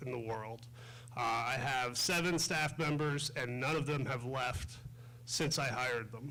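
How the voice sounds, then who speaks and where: A man talks with ordinary pitch variation. Audible room echo and noticeable background noise come through. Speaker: state's attorney, election candidate. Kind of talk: candidate forum speech. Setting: school library forum with audience, microphone. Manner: loud.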